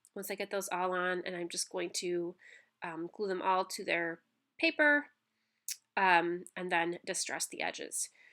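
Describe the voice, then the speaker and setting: A woman speaks at a fairly slow pace in a bright, sharp tone. The recording is very clean, with a silent background. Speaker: scrapbooking crafter. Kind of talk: tutorial voiceover. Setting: recorded voiceover. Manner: halting with many fillers.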